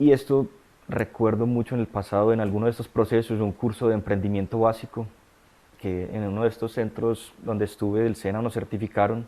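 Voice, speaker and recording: A man talks at a fairly quick pace in a dark, mellow tone, his medium pitch held in a monotone, flat intonation. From Colombia, Medellín area. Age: 30s. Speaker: data scientist in recovery from addiction. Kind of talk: testimony.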